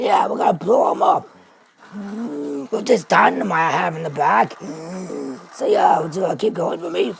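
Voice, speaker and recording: In a put-on character voice, raspy and middle-pitched, the speaker moves at a moderate pace with long, frequent pauses. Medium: machinima. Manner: blustering, fumbling.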